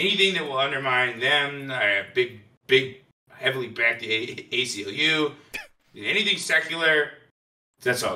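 Using a put-on character voice at a medium pitch, a man talks at a moderate pace broken by long, frequent pauses. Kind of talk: improvised comic interview answer.

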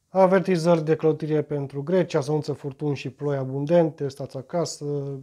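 Speaking at a moderate pace with hardly any pauses, a man uses a fairly high pitch and a dark, mellow tone, his intonation fairly even over a quiet background. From Romania. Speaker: YouTuber; vlogger commenting on the news. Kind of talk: reading aloud and commenting on news. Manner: halting, many repetitions and fillers. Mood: ironic, mocking. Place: home room. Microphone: phone near.

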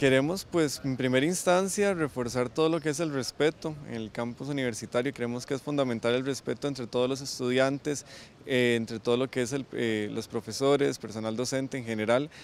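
Hardly pausing, a man talks at a fairly quick pace with ordinary pitch variation, in a dry sound with no echo and light background noise. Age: 20s. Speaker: student representative; student council member. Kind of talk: interview. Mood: calm, earnest. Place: street. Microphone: handheld.

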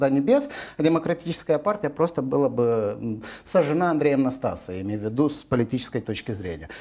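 Very fast speech from a man comes through over a quiet background. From Moldova. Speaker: legal expert. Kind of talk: TV political talk show discussion. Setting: TV studio. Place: studio. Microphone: lapel.

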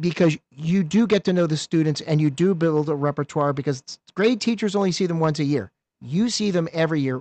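A man with an American accent talks at a fairly quick pace in an ordinary speaking voice, fairly high-pitched with lively intonation, recorded dry and close with no echo over a quiet background. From eastern Pennsylvania. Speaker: podcast co-host. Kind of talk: casual interview.

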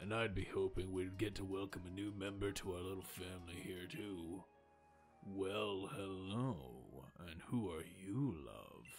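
A man puts on a character voice, raspy and very deep in pitch. Clear music plays in the background. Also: moderate pace. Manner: deliberately manly voice.

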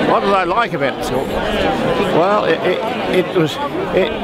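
A man's voice, dry with no echo, against loud background noise. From New Zealand. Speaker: former pupil at school reunion. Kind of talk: interview answer. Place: street. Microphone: phone near.

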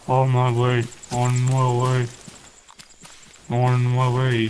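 Using a put-on character voice, a man speaks at a very slow pace in a monotone with flat intonation. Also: medium pitch for a man. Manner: clipped, urgent, on-the-move radio style.

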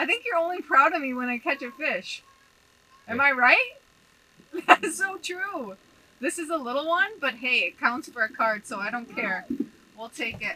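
A woman speaks in a raised, projected voice at a moderate pace, with very wide pitch swings and big swings in loudness. Light background noise is present. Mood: cheerful, laughing. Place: tent. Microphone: camera far.

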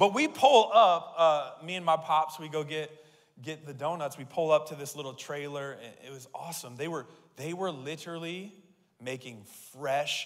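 The man's pace is moderate. Pitch moves in an ordinary way as he talks. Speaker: pastor. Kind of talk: sermon. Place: church. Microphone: handheld.

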